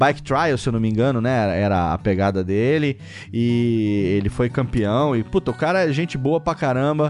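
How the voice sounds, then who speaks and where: A man speaks in a normal speaking voice at a medium pitch. His intonation is lively, and his loudness stays very even. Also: moderate pace. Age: 40s. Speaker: podcaster. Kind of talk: casual chat.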